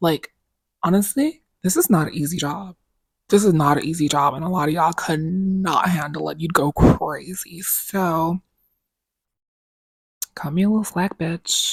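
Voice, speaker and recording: Somewhat breathy, with ordinary pitch variation and long, frequent pauses, the voice sounds dry and close, with no echo. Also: woman, fairly low pitch for a woman, moderate pace. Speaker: content creator who records videos. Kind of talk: casual slang. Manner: casual, sassy, outspoken.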